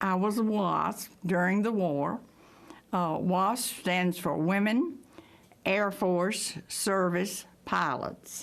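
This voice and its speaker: A medium-pitched woman's voice with an American accent at a very slow pace, with ordinary pitch variation. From Texas. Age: 90s. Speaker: WWII veteran pilot. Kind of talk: interview testimony.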